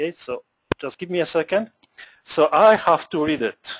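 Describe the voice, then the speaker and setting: Spoken in a Polish accent with ordinary pitch variation, the recording is dry and close with no echo. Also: man, high pitch for a man, moderate pace. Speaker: moderator reading audience questions.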